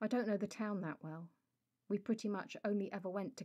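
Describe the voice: Behind the voice, all is quiet. The reading aloud is plain.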